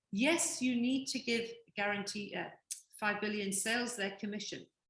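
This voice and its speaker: A woman speaks with a fairly high pitch and ordinary pitch variation. Room echo is audible around her voice. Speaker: business opportunity presenter. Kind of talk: sales presentation. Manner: fast.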